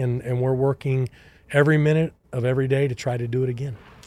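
With a Texan accent, a man talks at a fairly quick pace in a medium pitch, his dark, mellow tone somewhat breathy and his intonation fairly even. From Texas. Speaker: baseball scouting executive. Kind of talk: interview.

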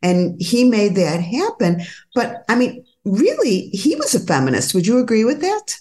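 A woman speaks at a moderate pace with a fairly high, somewhat breathy voice. Her tone is dark and mellow, and her pitch swings very widely. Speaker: podcast host, gynecologist. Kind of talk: interview conversation.

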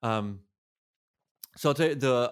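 A man talks in an ordinary speaking voice with an American accent, at a medium pitch and with ordinary pitch variation. The recording is very clean, with a silent background. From Massachusetts. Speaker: podcast host and producer. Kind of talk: interview.

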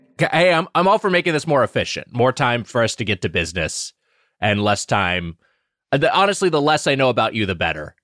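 A man speaks very fast at a medium pitch, with very wide pitch swings, vocal fry and a bright, sharp tone. His loudness is very even, and the recording is very clean, with a silent background and a dry, close sound with no echo. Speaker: video game podcast co-host. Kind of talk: casual comedic chat.

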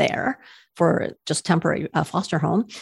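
In a very clean recording with a silent background, a woman speaks in an unremarkable speaking voice, fairly low in pitch with ordinary pitch variation. Her moderate pace comes through a dry, close sound with no echo. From Canada. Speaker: cat rescuer. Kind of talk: casual interview.

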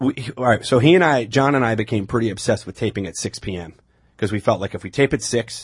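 Talking at a very fast pace, a man with a New York accent uses a medium pitch, ordinary pitch variation and a somewhat breathy voice. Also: dry, close sound with no echo. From Long Island, New York. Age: 30s. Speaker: comedian. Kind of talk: casual chat.

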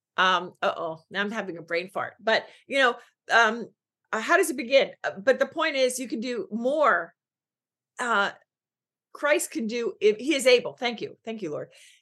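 A woman's high, bright, sharp voice with an American accent, very wide pitch swings, a moderate pace, and long, frequent pauses. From Philadelphia, US East Coast. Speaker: business coach. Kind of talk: podcast interview.

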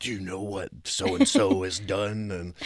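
A man uses a put-on character voice pitched fairly low. His delivery is fairly slow, with monotone, flat intonation. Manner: ominous, accusatory.

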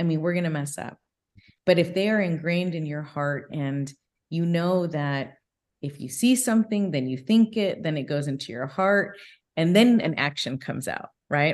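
A woman with an American accent, a normal speaking voice, fairly low in pitch with lively intonation, in a quiet background. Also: moderate pace. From Southern California. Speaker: business executive. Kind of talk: interview.

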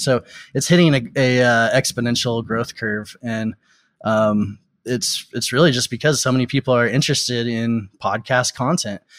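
A normal speaking voice with an American accent, a moderate pace and fairly even intonation. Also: man. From Texas. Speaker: tech company founder and CEO. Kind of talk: interview.

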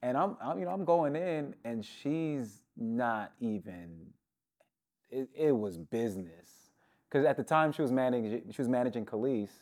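This man has an unremarkable speaking voice with a medium pitch and an American accent. He speaks at a moderate pace with lively intonation over a very clean, silent background. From New York (Brooklyn, Queens, upstate). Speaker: music producer. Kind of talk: casual interview. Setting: hotel room in Los Angeles.

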